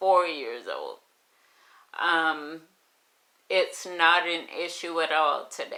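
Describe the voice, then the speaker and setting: With a bright, sharp tone, a woman speaks very slowly at a fairly low pitch and fairly even intonation. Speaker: vlogger sharing her multiple sclerosis journey. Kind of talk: personal vlog testimony.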